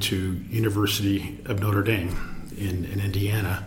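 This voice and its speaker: In an American accent, a man speaks with flat, monotone intonation at a fairly low pitch, amid audible room echo and noticeable background noise. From Los Angeles, US. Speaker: venture capitalist. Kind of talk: interview.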